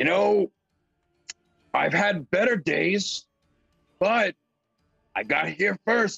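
In a put-on character voice, a man speaks raspy and high, with ordinary pitch variation, at a very slow pace with long, frequent pauses. Faint music plays in the background. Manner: carefree, reckless, jokey.

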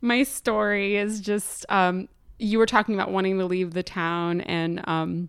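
An unremarkable speaking voice carries fairly even intonation in an American accent. Behind it, the background is silent on a very clean recording. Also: woman. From northern New Jersey (Morristown). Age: 30s. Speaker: filmmaker and sound engineer. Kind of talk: casual chat. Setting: home.

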